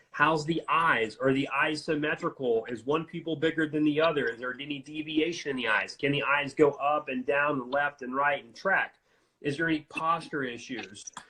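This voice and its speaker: A man's fairly high voice with an American accent, bright and sharp in tone, fairly even in intonation, with big swings in loudness and hardly any pauses. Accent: slight Cajun. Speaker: functional neurology doctor. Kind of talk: casual interview chat. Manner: fast.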